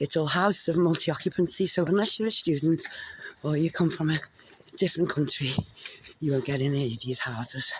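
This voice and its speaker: A woman with a Liverpool accent speaks in a very deep, low voice. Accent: Scouse. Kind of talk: casual vlog talk to camera. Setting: outdoors, walking. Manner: heavy breathing, walking.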